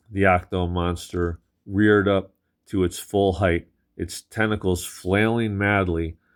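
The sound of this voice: The reading voice is unforced, and the intonation stays fairly even. It sits against a quiet background.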